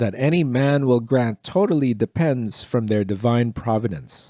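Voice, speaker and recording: Against a silent background in a very clean recording, a man with a medium pitch and a dark, mellow, calm tone speaks fairly slowly with ordinary pitch variation. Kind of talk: philosophy audiobook reading for sleep. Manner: calm, slow.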